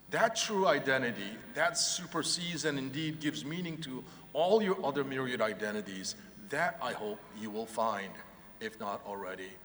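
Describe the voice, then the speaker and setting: A man with a Korean accent speaks at fairly high pitch and a moderate pace, his pitch swinging very widely. Noticeable background noise and audible room echo fill the recording. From South Korea, then California from age 15. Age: 50s. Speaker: professor. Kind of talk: commencement speech. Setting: arena stage with audience.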